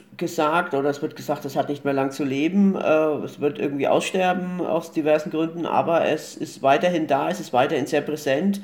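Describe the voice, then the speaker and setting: On a very clean recording with a silent background, a man with an ordinary speaking voice talks at a moderate pace, fairly high in pitch, with fairly even intonation. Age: 40s. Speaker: film blogger and podcast co-host. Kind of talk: casual chat.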